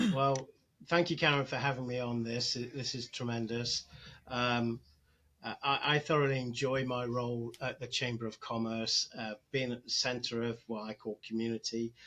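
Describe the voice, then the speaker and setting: With a Nottingham accent, a man speaks at a moderate pace and medium pitch, his tone bright and sharp, his intonation fairly even, against a quiet background. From England, Nottingham. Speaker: chamber of commerce executive director. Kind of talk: podcast interview. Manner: halting, many fillers.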